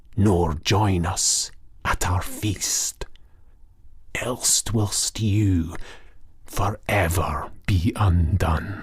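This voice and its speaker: A man whispers in a hoarse, put-on character voice, very slowly, with long, frequent pauses. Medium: read story. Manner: whispering, secretive.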